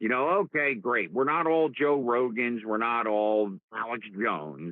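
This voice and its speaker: A man speaks with a strong New Jersey accent. His pace is fairly slow. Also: medium pitch for a man, lively intonation, very even loudness. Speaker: live stream host. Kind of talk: casual chat. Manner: animated.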